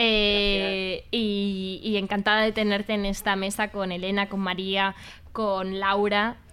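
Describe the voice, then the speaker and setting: Speaking very slowly in a monotone, a woman at medium pitch keeps her loudness very even, her tone bright and sharp, on a very clean recording with a silent background. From Madrid, Spain. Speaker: radio host. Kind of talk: casual chat.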